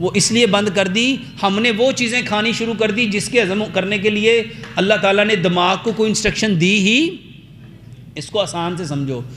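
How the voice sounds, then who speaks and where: A man speaks in an animated tone at a high pitch. The room echo is audible and background noise is noticeable. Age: 50s. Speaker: herbal health doctor. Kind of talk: health talk to audience. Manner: animated, rhetorical questions.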